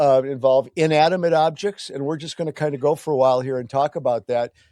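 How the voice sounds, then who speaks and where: A man's fairly high-pitched voice in a dark, mellow tone, at a fairly quick pace over a quiet background. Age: 60s. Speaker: podcast host. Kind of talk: casual chat.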